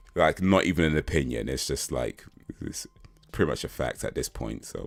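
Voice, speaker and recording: With an American accent, a man speaks in a very deep, low voice with vocal fry. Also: ordinary pitch variation, moderate pace. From England, London. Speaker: live streamer. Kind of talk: casual live stream chat answering viewers. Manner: repetitive, stammering restarts.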